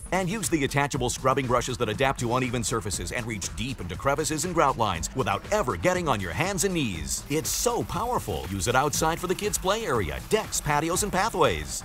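Over noticeable background noise, a man talks fairly quickly with hardly any pauses, his medium pitch swinging very widely. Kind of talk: TV commercial read.

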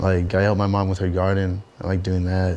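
Over light background noise, a man speaks at a moderate pace in a very deep, low pitch, his dark, mellow tone held in a monotone, flat intonation. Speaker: interviewee. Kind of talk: interview answer. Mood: casual, reflective. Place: home room.

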